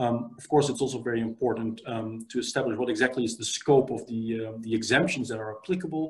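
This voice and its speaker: Speaking very fast with hardly any pauses, a man with a Dutch accent uses a medium, somewhat breathy voice with ordinary pitch variation and big swings in loudness against a quiet background. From Netherlands. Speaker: immigration lawyer. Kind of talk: interview. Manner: halting. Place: home room. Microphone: video call.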